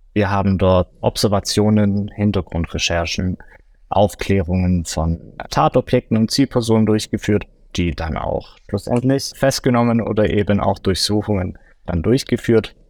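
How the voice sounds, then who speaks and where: A man with a plain, everyday voice speaks at a fairly low pitch with ordinary pitch variation. The recording is very clean with a silent background, its sound dry and close with no echo. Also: fairly slow pace. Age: 30s. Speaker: forensic consultant, former police officer. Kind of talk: interview.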